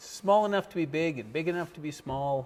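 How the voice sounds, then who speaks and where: A man's fairly high voice with lively intonation. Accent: western Canadian. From western Canada, Fort St. John, British Columbia. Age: 60s. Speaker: local business owner. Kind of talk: casual interview.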